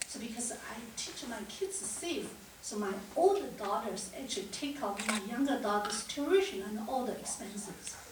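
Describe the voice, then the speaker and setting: A woman with a Chinese accent, fairly high pitch, lively intonation, moderate pace and big swings in loudness, with audible room echo and noticeable background noise. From China. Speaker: cancer survivor and financial advisor. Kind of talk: panel discussion. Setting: auditorium with audience. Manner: halting.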